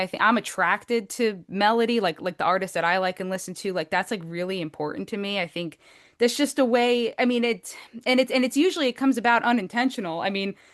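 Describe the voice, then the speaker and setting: Against a quiet background, the speaker talks fairly quickly with lively intonation in a New Jersey accent. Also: woman. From New Jersey, Essex County area. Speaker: singer-songwriter. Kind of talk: podcast interview.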